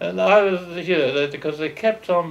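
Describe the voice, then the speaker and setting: A man speaks in a high pitch at a moderate pace. Noticeable background noise is present. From England, London East End. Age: 80s+. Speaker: war veteran. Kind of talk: oral history interview. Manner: halting.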